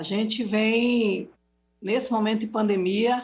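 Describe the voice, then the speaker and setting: Her fairly high pitch and fairly slow pace mark this woman's a plain, everyday voice. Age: 60s. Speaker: domestic workers' union leader. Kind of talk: public debate talk. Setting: live broadcast debate.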